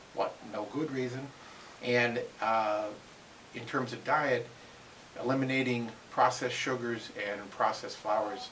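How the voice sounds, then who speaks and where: A man at a medium pitch speaks at a moderate pace with fairly even intonation and long, frequent pauses, over noticeable background noise and audible room echo. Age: 60s. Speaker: interviewee sharing weight loss story. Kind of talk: interview. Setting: at a seminar. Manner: halting, many fillers.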